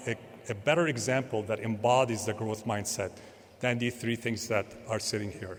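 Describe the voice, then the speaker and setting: A man talks over noticeable background noise. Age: 50s. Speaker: professor and panel moderator. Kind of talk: panel introduction speech.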